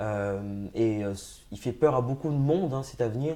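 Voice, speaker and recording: Talking at a moderate pace, a man with a medium pitch has a dark, mellow tone and ordinary pitch variation. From France, Essonne (Grigny, Paris suburbs). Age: 30s. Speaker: political candidate. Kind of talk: interview. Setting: studio set. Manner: hesitant, many fillers and repetitions.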